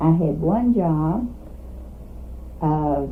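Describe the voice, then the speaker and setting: A woman speaks in a Kentucky accent with lively intonation and a fairly low pitch. Audible room echo surrounds her voice. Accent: Southern US (Kentucky). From US South, Kentucky (Trigg County). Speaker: retired teacher. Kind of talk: oral history interview.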